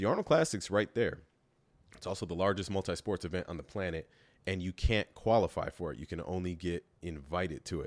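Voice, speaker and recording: A man's very deep, low voice at a fairly quick pace with ordinary pitch variation, dry and close with no echo, on a very clean recording with a silent background. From Kenosha, Wisconsin, US Midwest. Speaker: professional bodybuilder and personal trainer. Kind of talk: casual interview chat.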